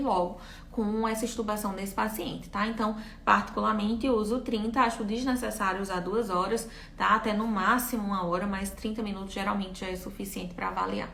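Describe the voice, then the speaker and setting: A woman's fairly high voice at a very fast pace, with audible room echo and noticeable background noise. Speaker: physiotherapy lecturer. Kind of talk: live-stream lecture with Q&A. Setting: live stream.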